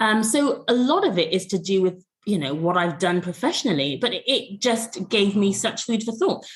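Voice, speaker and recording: A woman speaks at a moderate pace with a medium pitch. Her voice is somewhat breathy, and her intonation is lively. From England, Bristol (West Country). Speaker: podcast co-host, former educator. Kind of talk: casual podcast discussion. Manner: clear, well-enunciated; measured, with frequent hesitations.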